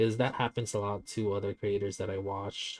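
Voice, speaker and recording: A man talks with a non-native accent. His pace is moderate. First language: not English. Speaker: streamer and digital artist. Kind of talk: casual livestream chat while drawing. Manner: stuttering; animated.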